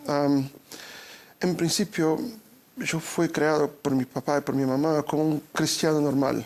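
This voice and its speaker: Fairly high-pitched male speech at a moderate pace, with ordinary pitch variation. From Brazil. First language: Portuguese (speaking Spanish). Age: 40s. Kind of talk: interview. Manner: halting, repeats words.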